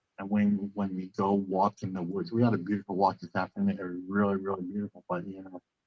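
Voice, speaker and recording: A man's fairly low, monotone voice, very fast with hardly any pauses and big swings in loudness. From central Canada. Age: 50s. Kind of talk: interview. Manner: halting, many repetitions and fillers.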